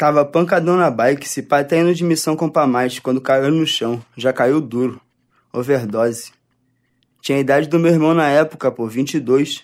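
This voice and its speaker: It is a plain, everyday voice from a man with a fairly high pitch and ordinary pitch variation. He speaks at a moderate pace on a very clean recording with a silent background. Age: 20s. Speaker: author. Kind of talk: reading aloud.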